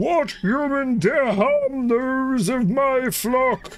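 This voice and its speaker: A put-on character voice speaks at a high pitch and a very slow pace over light background noise. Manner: loud, yelling, commanding.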